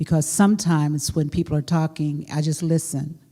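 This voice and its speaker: Somewhat breathy, a woman with an American accent speaks in a very deep, low pitch with a dark, mellow tone. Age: 60s. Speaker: preacher and homiletics professor. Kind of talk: panel conversation.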